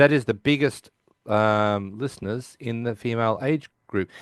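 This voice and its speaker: In an Australian accent, a man with a medium-pitched voice talks at a fairly slow pace with ordinary pitch variation, the sound dry and close with no echo. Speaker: podcast host. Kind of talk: casual chat.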